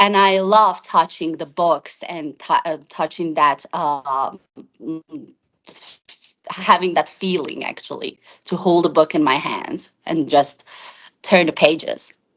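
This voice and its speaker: A woman's fairly low voice with a non-native accent, very slow pace and ordinary pitch variation. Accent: noticeable non-native. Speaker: IELTS test candidate. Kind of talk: interview answer. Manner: comfortable pace with occasional hesitations.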